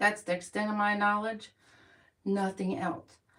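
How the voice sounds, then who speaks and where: The speaker is a woman. Her pitch is fairly high. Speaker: vlogger. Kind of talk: casual chat. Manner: fast.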